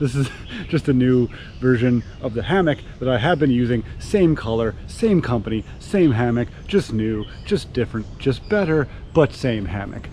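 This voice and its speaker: There is noticeable noise in the background. A man speaks at a medium pitch. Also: lively intonation, moderate pace. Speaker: camping vlogger. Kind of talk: casual vlog narration. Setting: outdoors. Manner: loud; animated.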